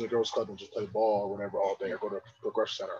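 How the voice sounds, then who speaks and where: A man talks at a very fast pace with an American accent. Noticeable background noise runs underneath. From Pennsylvania, Poconos area. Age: 20s. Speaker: podcast co-host. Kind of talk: casual chat.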